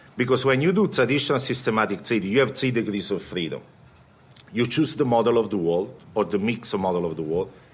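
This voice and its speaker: With an Italian accent, a man talks at a very fast pace. His intonation is lively. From Italy. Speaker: quant fund CEO; panelist. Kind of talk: panel talk. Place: meeting room. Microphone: podium.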